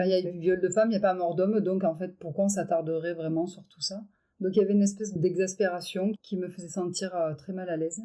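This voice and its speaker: Very fast, monotone delivery with flat intonation, a dark, mellow tone and big swings in loudness. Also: woman, medium pitch for a woman. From Avignon, France. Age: 50s. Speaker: feminist activist. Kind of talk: podcast interview answer.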